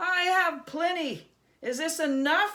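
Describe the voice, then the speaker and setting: A woman puts on a squeaky character voice at an extremely high pitch, talking at a fairly slow pace. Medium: read story.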